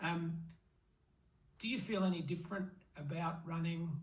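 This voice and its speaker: With an Australian accent, a man speaks at a high pitch in a flat monotone. Audible room echo surrounds his voice. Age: 60s. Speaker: masters runner and vlogger. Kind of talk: interview.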